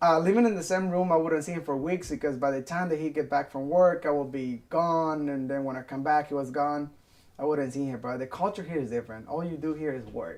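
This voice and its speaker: With a non-native accent, a man speaks at a fairly quick pace in a fairly high pitch. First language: Spanish. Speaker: restaurant worker. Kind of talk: interview testimony.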